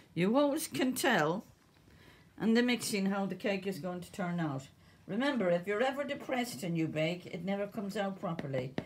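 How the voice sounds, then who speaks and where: A woman at medium pitch with an Irish accent, very wide pitch swings, fairly quick pace, and noticeable background noise. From Ireland. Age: 70s. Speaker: home cook. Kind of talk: cooking tutorial.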